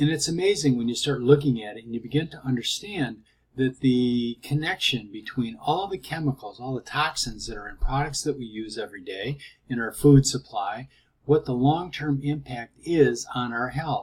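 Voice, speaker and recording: Moving at a moderate pace, a man's somewhat breathy voice shows big swings in loudness. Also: medium pitch for a man, ordinary pitch variation. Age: 60s. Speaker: product promoter, cancer survivor. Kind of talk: testimony and sales pitch. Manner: hesitant, with fillers.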